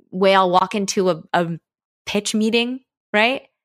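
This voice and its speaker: Here is an ordinary speaking voice with an American accent, moving at a moderate pace with fairly even intonation. The recording is very clean, with a silent background. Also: woman. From United States. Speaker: diversity and inclusion trainer, podcast co-founder. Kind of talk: casual interview discussion.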